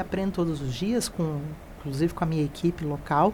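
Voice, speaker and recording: This woman sounds somewhat breathy, speaking with a Mato Grosso do Sul accent and ordinary pitch variation. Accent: Mato Grosso do Sul accent, noticeable. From Mato Grosso do Sul, Brazil. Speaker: college director. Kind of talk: interview.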